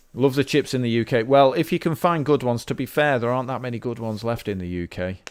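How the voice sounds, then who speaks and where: Here is a man with a British accent. His intonation is lively. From Britain. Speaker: indie game developer. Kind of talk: live-streamed dev log. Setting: livestream. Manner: casual, thinking aloud with fillers.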